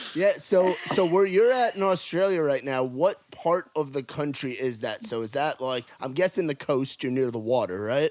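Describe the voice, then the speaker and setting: A voice with a New York accent moves at a moderate pace with lively intonation and hardly any pauses. Noticeable background noise runs underneath. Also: man, fairly high pitch for a man. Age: 20s. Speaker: podcast host. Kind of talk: casual chat. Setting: video call.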